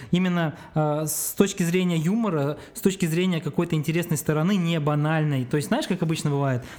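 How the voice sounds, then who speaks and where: A man speaks with a high-pitched voice. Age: 30s. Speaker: video producer. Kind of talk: casual chat. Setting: studio.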